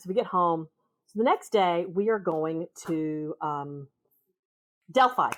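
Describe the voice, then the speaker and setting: A woman speaks with a Southern US accent. Her pitch is medium, with ordinary pitch variation. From US South. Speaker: podcast guest, author's sister. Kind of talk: casual chat.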